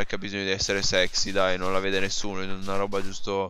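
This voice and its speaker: Very rapid, monotone speech from a man, flat in intonation. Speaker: gaming youtuber. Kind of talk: gameplay commentary. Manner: halting.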